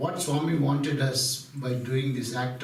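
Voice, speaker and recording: Over noticeable background noise and audible room echo, a man speaks with an Indian accent at medium pitch. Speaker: spiritual speaker. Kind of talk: devotional talk.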